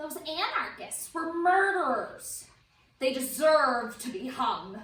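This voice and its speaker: In a put-on character voice, a female-sounding voice speaks fairly slowly, high-pitched and shrill, with slight echo. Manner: indignant, harsh.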